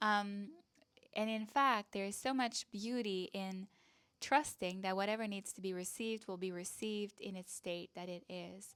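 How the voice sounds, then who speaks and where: On a very clean recording with a silent background, a woman speaks in a Quebec accent at medium pitch. Her pace is moderate and her intonation fairly even. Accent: French Canadian accent in English. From Canada, French-speaking. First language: French. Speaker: online business coach and content creator. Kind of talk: casual talk to camera.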